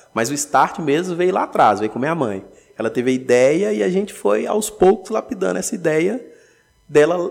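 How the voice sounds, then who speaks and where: Vocal fry runs through a man's fairly high voice as his pitch swings very widely. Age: 20s. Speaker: entrepreneur, food shop owner. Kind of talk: casual interview.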